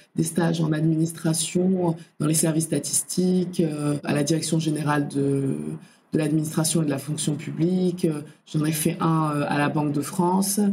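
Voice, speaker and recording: The voice has a dark, mellow tone, a monotone, flat intonation and very even loudness. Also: woman, very deep, low pitch for a woman, moderate pace. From Comoros. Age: 20s. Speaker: infrastructure finance professional. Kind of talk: podcast interview. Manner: hesitant, many fillers.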